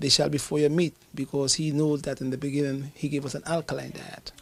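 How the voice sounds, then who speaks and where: A man talks at a fairly quick pace in a fairly high voice. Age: 60s. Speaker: herbalist. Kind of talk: interview.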